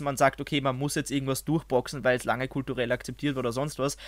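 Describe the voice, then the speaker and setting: A man talks with an Austrian accent on a very clean recording with a silent background. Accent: Austrian-sounding German. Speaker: YouTuber and video artist. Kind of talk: casual chat.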